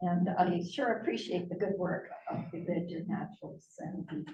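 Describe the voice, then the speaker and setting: A woman's somewhat breathy, fairly low-pitched voice with a dark, mellow tone, at a fairly slow pace, amid audible room echo. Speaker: biologist and conservation board member. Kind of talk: public lecture. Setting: public talk with live audience. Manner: naturally soft, not a projector. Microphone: too quiet for the room.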